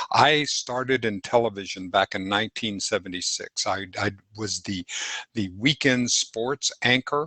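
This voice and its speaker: A man's medium-pitched voice has a bright, sharp tone and ordinary pitch variation. He speaks at a fairly slow pace, and the sound is dry and close with no echo. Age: 70s. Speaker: talk show host. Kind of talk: casual chat. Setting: livestream video call.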